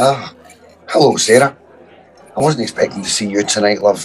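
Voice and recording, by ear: A man puts on a character voice that is raspy, at a medium pitch. He speaks at a moderate pace.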